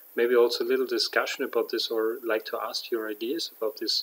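In a German accent, a man talks at a moderate pace. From Germany. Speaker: vlogger and aspiring coach; aspiring coach. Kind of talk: vlog monologue. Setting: at home at night. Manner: halting, many fillers. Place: home room. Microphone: webcam.

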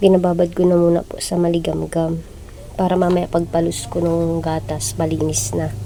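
Against noticeable background noise, a woman talks at a moderate pace in a fairly low pitch with ordinary pitch variation. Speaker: vlogger and new mother. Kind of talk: casual vlog narration. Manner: soft-spoken.

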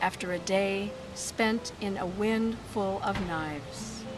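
A woman speaks at a very slow pace with ordinary pitch variation. Background noise is noticeable. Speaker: poet. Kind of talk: poetry reading. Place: garden. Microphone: phone near.

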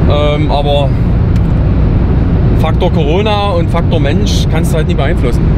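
A man talks over loud background noise. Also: dry sound with no echo. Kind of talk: casual Q&A answers while driving. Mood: calm, reflective. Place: car. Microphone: camera far.

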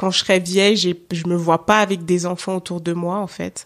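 A woman speaks at a fairly slow pace with a fairly low pitch and monotone, flat intonation. The recording is very clean with a silent background. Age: 30s. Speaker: podcaster. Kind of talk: interview.

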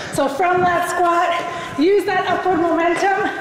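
A woman's extremely high pitch comes through with audible room echo and noticeable background noise. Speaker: fitness instructor. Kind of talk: workout instruction while exercising. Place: gym.

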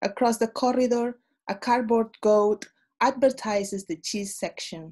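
Over a quiet background, a woman speaks in a dark, mellow tone that is somewhat breathy. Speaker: poet. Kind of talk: poetry reading. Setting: video call. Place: home room. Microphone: webcam.

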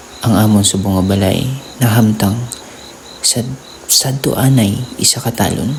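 Over noticeable background noise, a man with a fairly low pitch talks at a moderate pace in very even loudness and fairly even intonation, leaving long, frequent pauses. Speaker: horror storyteller. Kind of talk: spooky first-person ghost story narration, told as a personal experience.

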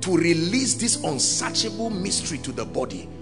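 Clear background music behind a man at a moderate pace. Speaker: preacher. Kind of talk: sermon preached to a congregation. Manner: fervent, authoritative. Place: church. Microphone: handheld.

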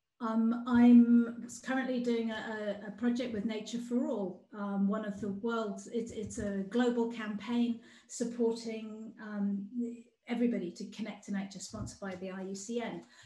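A woman with a fairly high pitch speaks in a flat monotone at a fairly slow pace. Audible room echo is present. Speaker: outdoor play campaigner. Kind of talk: presentation. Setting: video call. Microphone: video call.

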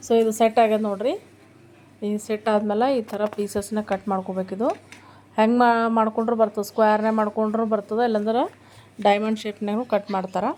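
A woman with a north Karnataka accent speaks in a fairly high voice, her tone dark and mellow and her intonation flat and monotone. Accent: north Karnataka (Kalaburagi) Kannada. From Gulbarga, north Karnataka; Karnataka, India. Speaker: family vlogger. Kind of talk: casual vlog narration.

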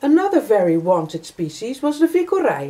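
A woman's high-pitched voice with very wide pitch swings. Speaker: vlogger. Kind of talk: informative vlog talk. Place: home room. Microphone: camera far.

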